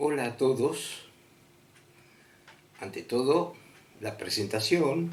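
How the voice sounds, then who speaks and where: A man with a fairly high pitch and ordinary pitch variation speaks at a very slow pace, with long, frequent pauses and audible room echo. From Argentina, Buenos Aires. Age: 70s. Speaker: storyteller of personal paranormal experiences. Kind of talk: personal testimony. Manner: halting, many fillers.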